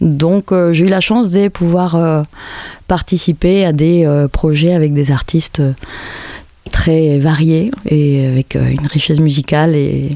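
A woman speaks very slowly, leaving long, frequent pauses, her loudness very even. Her pitch is very deep and low, with ordinary variation. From Spain, Madrid. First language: Spanish (speaking French). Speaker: musician. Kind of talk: interview monologue. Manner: hesitant, many fillers.

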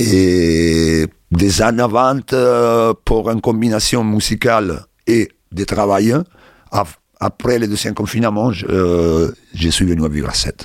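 In a very clean recording with a silent background, a man speaks very slowly at a fairly low pitch. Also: ordinary pitch variation. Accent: Italian. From Italy, Rome. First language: Italian (speaking French). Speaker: bassist and music producer. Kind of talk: interview monologue. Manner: halting.

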